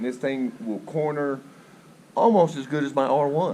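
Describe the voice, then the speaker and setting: A man is speaking at a moderate pace. Noticeable background noise runs underneath. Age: 60s. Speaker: motorcycle rider. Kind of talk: interview.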